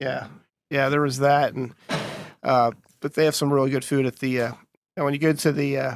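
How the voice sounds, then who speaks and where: At a moderate pace, a man speaks with a New Jersey accent and a fairly high pitch. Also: dry, close sound with no echo. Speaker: HVAC trainer. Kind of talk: casual chat. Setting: makeshift podcast set at a conference resort. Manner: halting, many fillers.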